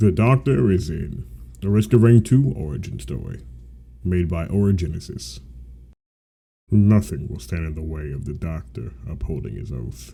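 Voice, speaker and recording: A man's very deep, low, dark and mellow voice with vocal fry, very wide pitch swings, big swings in loudness, a moderate pace and long, frequent pauses. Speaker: aspiring voice actor. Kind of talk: read story narration.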